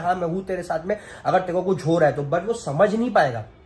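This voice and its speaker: A fairly quick pace with ordinary pitch variation. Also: man. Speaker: family vlogger. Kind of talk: emotional vlog monologue. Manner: emotional, earnest.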